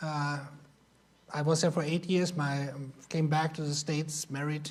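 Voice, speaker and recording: He speaks with a German accent. His voice sits fairly high for a man. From Germany. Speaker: missionary. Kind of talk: Sunday school lesson.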